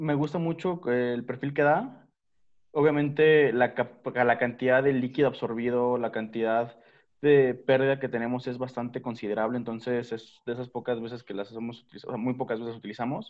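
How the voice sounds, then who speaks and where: The background stays quiet. A man talks at a moderate pace, his intonation fairly even. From Mexico City. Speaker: craft brewery founder and head brewer. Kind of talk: panel discussion. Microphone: video call.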